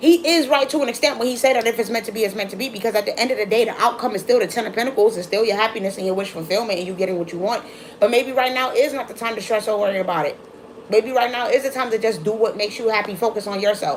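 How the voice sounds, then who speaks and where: With an American accent, a woman talks at a very fast pace in an animated tone, her fairly high pitch showing ordinary variation against noticeable background noise. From Brooklyn, New York. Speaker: tarot reader. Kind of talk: live-stream tarot reading. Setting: live stream.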